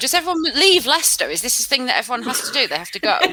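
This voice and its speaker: In a Lancashire accent, a woman speaks with very wide pitch swings. Noticeable background noise is present. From Lancashire, northern England. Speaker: podcast host. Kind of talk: casual chat. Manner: animated.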